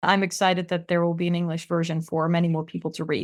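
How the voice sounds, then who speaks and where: A woman with a Dutch accent at a fairly low pitch and a fairly quick pace, with monotone, flat intonation, in a very clean recording with a silent background. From Netherlands. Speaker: author and tech policy expert. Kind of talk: interview.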